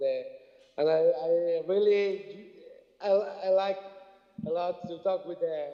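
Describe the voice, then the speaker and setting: A man's voice over noticeable background noise. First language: Spanish. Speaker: journalist. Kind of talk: acceptance speech. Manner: halting.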